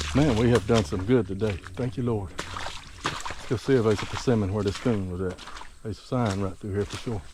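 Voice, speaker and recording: A man with a Southern US accent, fairly low pitch, ordinary pitch variation and a fairly quick pace, over noticeable background noise. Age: 60s. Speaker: bowhunter. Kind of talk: outdoor vlog commentary. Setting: outdoors, walking in woods.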